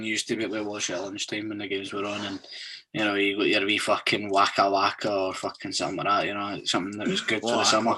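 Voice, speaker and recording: With a Scottish accent, the speaker talks at a very fast pace in a bright, sharp tone. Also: man. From Scotland. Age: 20s. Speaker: podcast host. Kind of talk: casual podcast chat.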